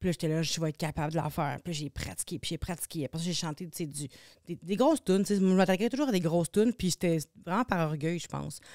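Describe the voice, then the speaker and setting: Over a silent background in a very clean recording, a dark, mellow voice races at a very fast pace with ordinary pitch variation. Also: woman, fairly low pitch for a woman. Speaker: singer and TV personality. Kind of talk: casual chat. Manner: halting.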